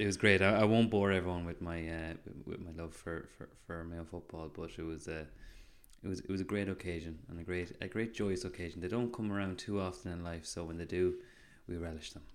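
With an Irish accent, a man speaks in a very deep, low voice and fairly even intonation. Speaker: podcast co-host. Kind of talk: casual chat.

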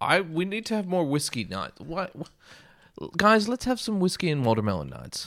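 A man with a high pitch and very wide pitch swings talks at a moderate pace with hardly any pauses. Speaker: actor. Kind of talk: casual chat.

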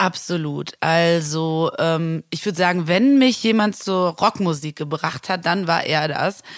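A woman's fairly low-pitched voice with ordinary pitch variation, at a very slow pace with hardly any pauses. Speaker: music booker and singer. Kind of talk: interview.

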